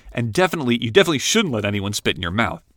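A man's medium-pitched voice with very wide pitch swings, dry and close with no echo, on a very clean recording with a silent background. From rural Ohio, US Midwest. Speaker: writer reading his own blog post. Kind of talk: reading aloud.

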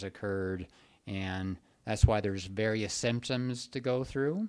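A man with a normal speaking voice at a medium pitch, fairly slow in pace with ordinary pitch variation, on a very clean recording with a silent background. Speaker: psychiatrist podcast host. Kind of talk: casual podcast conversation.

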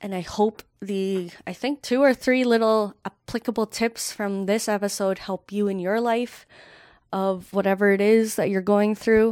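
A woman with a plain, everyday voice at a medium pitch, fairly even intonation and a fairly slow pace, in a very clean recording with a silent background. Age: 20s. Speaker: podcast host. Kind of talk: unscripted solo monologue. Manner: casual, filler-heavy.

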